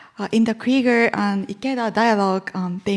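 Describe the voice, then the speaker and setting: In an ordinary speaking voice, a woman talks with fairly high pitch and fairly even intonation. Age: young. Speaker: panel moderator. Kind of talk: panel moderation.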